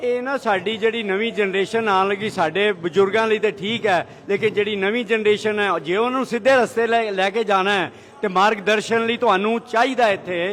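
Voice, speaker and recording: His intonation stays fairly even while this man talks in a high register. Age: 70s. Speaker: temple volunteer. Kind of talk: interview.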